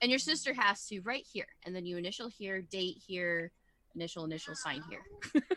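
Her pitch is medium, her intonation lively, and her pace moderate. The woman has an ordinary speaking voice with big swings in loudness. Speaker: tabletop RPG player. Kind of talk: tabletop RPG session, casual and animated.

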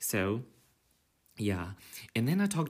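There is a silent background on this very clean recording. A man talks with lively intonation, keeping a moderate pace. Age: 30s. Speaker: podcaster. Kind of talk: casual monologue. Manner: natural conversational pace.

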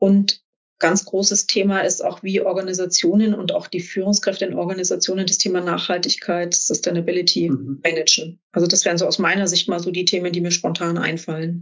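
Talking at a fairly quick pace with hardly any pauses, a woman uses a normal speaking voice at a medium pitch and fairly even intonation. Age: 40s. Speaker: executive coach and business angel. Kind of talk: interview.

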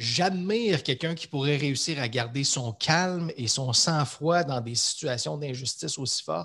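In a normal speaking voice, the speaker goes fairly slowly with lively intonation and hardly any pauses, over a quiet background. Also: man, fairly high pitch for a man. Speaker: leadership coach. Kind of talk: casual interview conversation.

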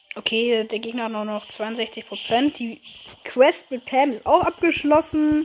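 Over noticeable background noise, a woman speaks at a fairly slow pace in a fairly high pitch. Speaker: gaming YouTuber. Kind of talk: live gameplay commentary. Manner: animated.

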